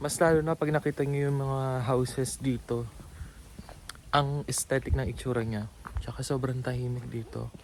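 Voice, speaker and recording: Soft-spoken, a man talks with fairly even intonation. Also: medium pitch for a man, moderate pace. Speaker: vlogger. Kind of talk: walking tour vlog. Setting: outdoors. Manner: casual.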